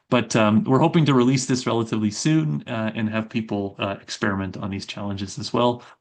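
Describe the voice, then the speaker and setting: Over a quiet background, a man talks at a fairly quick pace in a fairly low pitch. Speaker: robotics professor. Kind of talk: research talk. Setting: video call. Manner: fast; many filler words.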